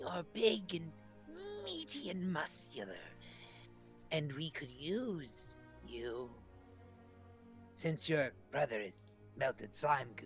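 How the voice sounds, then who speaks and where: Clear music can be heard in the background. Over it, someone talks very slowly in a put-on character voice. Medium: actual play. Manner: wheedling, repeats herself with "yes".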